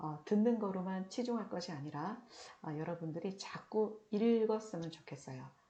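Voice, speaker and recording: A woman with a dark, mellow, somewhat breathy tone, very slow in pace with lively intonation, amid audible room echo. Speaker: lecturer on railway safety law. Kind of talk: recorded online lecture. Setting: recorded video lecture. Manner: trying to speak slowly and clearly.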